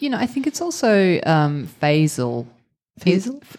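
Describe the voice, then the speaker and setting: A woman's fairly slow speech in an Australian accent, with very wide pitch swings. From Australia, rural Victoria. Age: 40s. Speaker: actor and improv performer. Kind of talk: live podcast interview. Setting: theatre stage with live audience.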